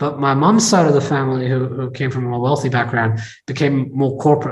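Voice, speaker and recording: Audible room echo surrounds a man whose somewhat breathy, medium-pitched voice races at a very fast pace. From England. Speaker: tech entrepreneur and investor. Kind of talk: interview.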